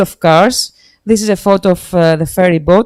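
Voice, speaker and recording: A woman is speaking. She has a Greek accent. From Greece. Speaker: sustainable development expert. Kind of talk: slide presentation. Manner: halting.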